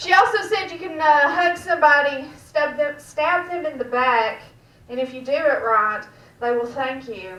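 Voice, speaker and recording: Amid noticeable background noise and audible room echo, a woman with a Georgia accent speaks with very wide pitch swings. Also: big swings in loudness. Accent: Southern US (Georgia). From US South, Georgia. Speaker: stand-up comedian. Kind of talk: stand-up. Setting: stage with audience, back room of a restaurant.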